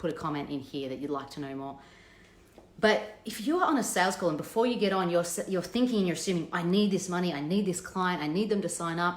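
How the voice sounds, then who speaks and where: A woman talks at a very fast pace in a fairly low voice with ordinary pitch variation, with audible room echo and noticeable background noise. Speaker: business coach. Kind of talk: live stream talk.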